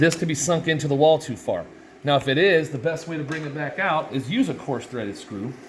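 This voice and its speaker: A man talks at a fairly quick pace with fairly high pitch and ordinary pitch variation. There is noticeable background noise. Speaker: restoration contractor. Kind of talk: tutorial. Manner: fast; casual.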